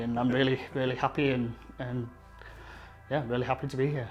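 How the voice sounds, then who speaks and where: A man with a Yorkshire accent at a fairly quick pace, flat and monotone in intonation, with music in the background. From northern England, Leeds. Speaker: graffiti artist. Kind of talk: interview.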